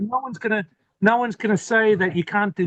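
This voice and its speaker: Here a man with an Australian accent speaks at a fairly quick pace with fairly even intonation. The recording is dry and close, without echo. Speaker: homesteader living off-grid. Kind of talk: interview. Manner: halting, repeats words.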